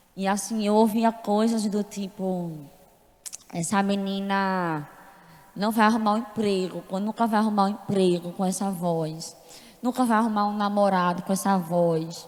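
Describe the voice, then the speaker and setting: In a room with audible echo, a woman speaks fairly slowly at medium pitch with fairly even intonation. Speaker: church member giving testimony. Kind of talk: testimony. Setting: church service.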